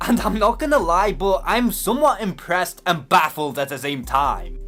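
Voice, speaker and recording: A man's high, animated voice in a Liverpool accent, with very wide pitch swings at a moderate pace over noticeable background noise. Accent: Scouse. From British. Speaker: YouTuber answering comments. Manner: raises voice to be expressive, animated.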